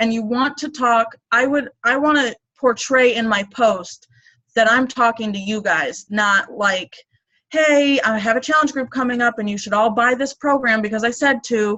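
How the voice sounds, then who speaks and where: Her pitch fairly high, a woman with an ordinary speaking voice talks with ordinary pitch variation. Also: moderate pace. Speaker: fitness business coach. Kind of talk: team training call.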